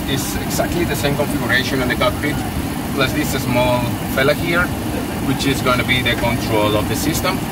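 Despite loud background noise, the dry, echo-free speech runs at a fairly quick pace, broken by long, frequent pauses. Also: man. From Spain. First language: Spanish. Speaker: airline pilot. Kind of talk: interview. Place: plane. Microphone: camera far.

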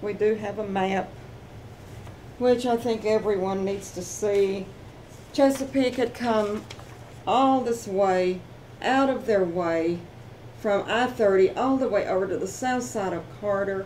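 A woman talks at a fairly slow pace, leaving long, frequent pauses. Her pitch varies in an ordinary way over light background noise. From Fort Worth, Texas. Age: 70s. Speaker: homeowner. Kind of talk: interview answer. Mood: aggrieved, earnest. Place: home room. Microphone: camera far.

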